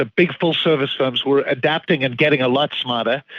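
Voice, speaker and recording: With a slight Zimbabwean accent, a man talks at a fairly quick pace. His pitch varies in an ordinary way. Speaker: financial firm founder and CEO. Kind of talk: podcast interview.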